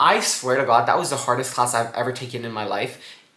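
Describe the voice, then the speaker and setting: Audible room echo trails a man's speaking voice. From Guatemala. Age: 20s. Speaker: student vlogger. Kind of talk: casual vlog advice.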